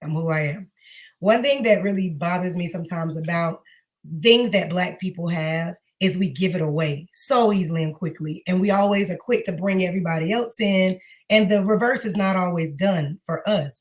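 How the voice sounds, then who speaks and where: A somewhat breathy woman with an American accent, at a moderate pace. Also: ordinary pitch variation. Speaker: singer and teacher. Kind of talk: interview.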